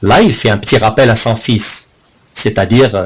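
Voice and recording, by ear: Someone is reading aloud in a natural voice. The text is read straight through.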